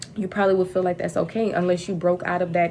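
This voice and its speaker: Her speech comes at a very fast pace, with fairly even intonation. This woman has a dark, mellow tone and a fairly low pitch. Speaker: tarot reader. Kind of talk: live-stream card reading. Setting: livestream.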